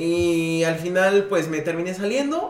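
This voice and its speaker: A man speaks with a high pitch. Audible room echo and noticeable background noise surround his voice. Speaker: podcast co-host, design studio owner. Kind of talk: casual chat.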